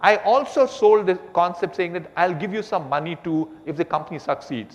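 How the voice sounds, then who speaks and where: Pitched high for a man, this speaker talks at a fairly quick pace with lively intonation over noticeable background noise. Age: 70s. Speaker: business executive and entrepreneur. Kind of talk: on-stage conversation.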